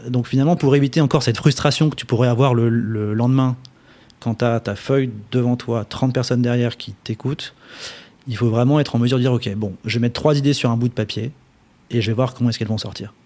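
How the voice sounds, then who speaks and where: At a very fast pace, a man talks in a dark, mellow tone at medium pitch. His intonation stays fairly even. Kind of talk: interview answer. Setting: studio.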